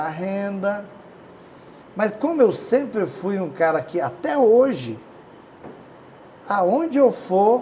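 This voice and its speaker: This man's pitch swings very widely as he speaks at a fairly slow pace. Noticeable background noise runs underneath. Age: 60s. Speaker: business owner. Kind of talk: interview.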